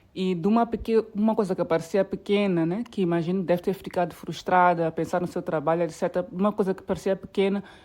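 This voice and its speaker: With a dark, mellow tone, a woman talks very fast at a medium pitch and fairly even intonation against a quiet background. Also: hardly any pauses. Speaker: podcast host. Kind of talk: podcast interview.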